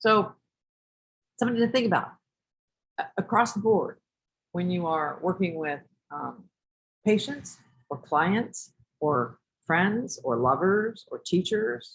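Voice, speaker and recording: Speaking at a very slow pace, the voice stops often for long pauses. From New York City. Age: 60s. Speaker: teacher. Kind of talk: lecture. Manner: animated.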